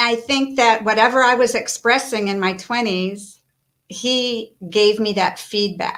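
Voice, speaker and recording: At a fairly slow pace, a woman with fairly high pitch and an ordinary speaking voice keeps a fairly even intonation, in a very clean recording with a silent background. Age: 60s. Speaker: author and life coach. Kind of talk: interview.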